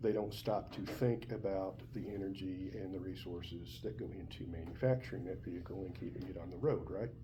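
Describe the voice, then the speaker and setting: With lively intonation and hardly any pauses, a man talks at a fairly quick pace in a fairly low pitch, and audible room echo surrounds his voice. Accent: Southern US. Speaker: college biology teacher. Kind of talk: lecture. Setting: classroom. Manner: conversational.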